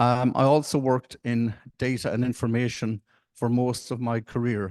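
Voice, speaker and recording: A man with an Irish accent at a moderate pace, in a dry, close sound with no echo and a quiet background. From Ireland. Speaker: panel moderator. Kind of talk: conference panel moderation. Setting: conference side event with audience.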